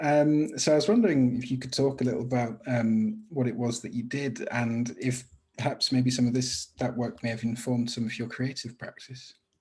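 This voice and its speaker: At a moderate pace with hardly any pauses, a man speaks somewhat breathily with a medium pitch and fairly even intonation. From France. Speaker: podcast host. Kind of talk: interview.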